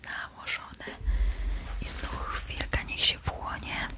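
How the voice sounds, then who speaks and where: A woman whispers at a very slow pace. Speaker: ASMR creator playing beautician. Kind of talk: ASMR skincare roleplay, talking to the viewer. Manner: soft, friendly, conversational. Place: home room. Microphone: studio mic.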